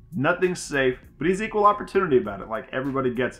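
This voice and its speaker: Over music in the background, the voice moves at a very fast pace with an upbeat tone and lively intonation. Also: man. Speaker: reaction video host. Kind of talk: casual chat, reaction video commentary. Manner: friendly, upbeat. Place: home room.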